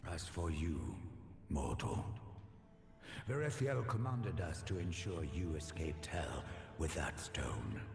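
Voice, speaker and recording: A man's put-on character voice at a moderate pace, with slight echo and clear background noise. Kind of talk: epic fantasy dialogue. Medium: video game. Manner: formal, cold, commanding.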